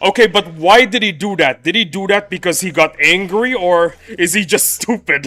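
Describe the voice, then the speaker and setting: Raising and projecting his voice, a man with an American accent speaks at high pitch, with ordinary pitch variation and a moderate pace. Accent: sounds American. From Indonesia, raised among Americans. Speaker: gaming streamer. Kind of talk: live stream chat. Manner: animated.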